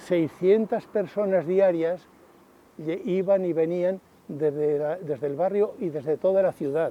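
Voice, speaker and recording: A man speaks at a fairly slow pace in a high pitch. His pitch variation is ordinary. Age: 80s+. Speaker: retired barber. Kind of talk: interview testimony.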